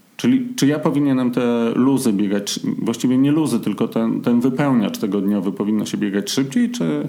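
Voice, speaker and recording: Fairly quick speech from a man at medium pitch, lively in intonation, with a dark, mellow tone. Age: 40s. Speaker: podcast host, amateur marathon runner. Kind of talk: casual chat.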